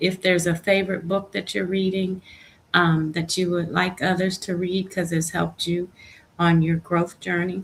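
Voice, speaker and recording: This woman has a somewhat breathy voice. Her pitch is medium, and its variation is ordinary. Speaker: livestream host. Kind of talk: inspirational livestream talk. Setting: live stream.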